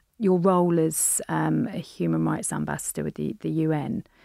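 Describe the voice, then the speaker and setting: A woman speaks with a British accent. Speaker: podcast host. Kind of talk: casual interview chat.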